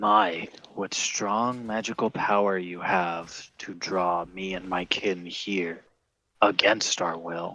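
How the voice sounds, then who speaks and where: In a put-on character voice, a man speaks at a very slow pace with a very deep, low pitch. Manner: eerie, formal.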